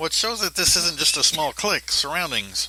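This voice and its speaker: The speaker is a man. He talks at a moderate pace. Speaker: commentator. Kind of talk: commentary monologue. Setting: poor home recording.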